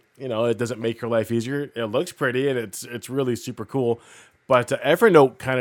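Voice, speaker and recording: On a very clean recording with a silent background, a man with a Canadian accent and a normal speaking voice talks at a fairly quick pace and medium pitch, with ordinary pitch variation. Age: 40s. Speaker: podcast co-host. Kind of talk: casual chat. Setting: studio.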